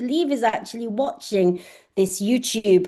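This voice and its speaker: A woman with a dark, mellow tone speaks at a fairly high pitch and a moderate pace. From southern England, Oxford. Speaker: astrophysicist professor. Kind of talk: online lecture. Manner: hesitant with frequent fillers.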